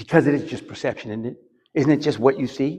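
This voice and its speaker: Here a man talks at a fairly quick pace. He has a normal speaking voice. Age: 60s. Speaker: preacher. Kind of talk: sermon. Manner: conversational, repeats words.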